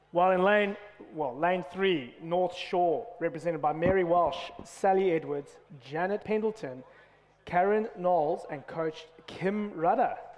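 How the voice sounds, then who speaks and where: The speech moves at a fairly slow pace with ordinary pitch variation. Noticeable background noise can be heard. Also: man, high pitch for a man. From South Africa. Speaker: rowing coach and race commentator. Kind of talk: live commentary.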